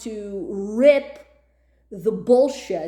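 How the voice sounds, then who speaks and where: Loud and animated in tone, a woman speaks with lively intonation. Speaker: YouTuber. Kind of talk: rant.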